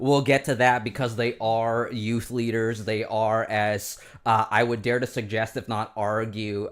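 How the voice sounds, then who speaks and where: On a very clean recording with a silent background, a man speaks at a moderate pace. His intonation is monotone and flat. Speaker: livestream host. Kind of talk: casual chat. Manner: loud.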